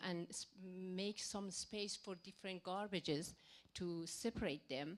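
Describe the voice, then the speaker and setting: A woman speaks with a non-native accent. Her pace is very slow. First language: not English. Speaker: audience member asking a question. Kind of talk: Q&A question. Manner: slow, halting.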